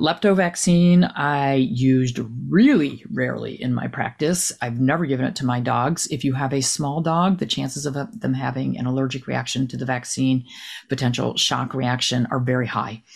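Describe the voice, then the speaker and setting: The speaker has an American accent and some vocal fry. The pace is moderate and the pitch variation is ordinary. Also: woman, very deep, low pitch for a woman. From New Jersey. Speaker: retired veterinarian. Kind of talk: interview conversation.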